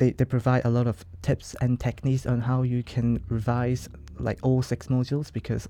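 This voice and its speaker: A man's dark, mellow voice at a medium pitch, with a Hong Kong accent and a moderate pace. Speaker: law student. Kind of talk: interview.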